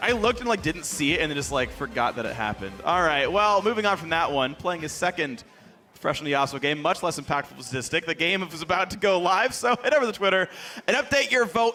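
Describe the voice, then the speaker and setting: Raising and projecting his high-pitched voice over noticeable background noise, a man speaks in an animated tone with lively intonation. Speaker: esports caster. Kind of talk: live commentary. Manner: loud.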